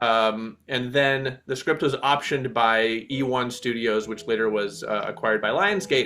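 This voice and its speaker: A man with an American accent and a normal speaking voice talks at a moderate pace with hardly any pauses, a medium pitch, and ordinary pitch variation. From United States. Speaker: film director and classical violinist. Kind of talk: interview.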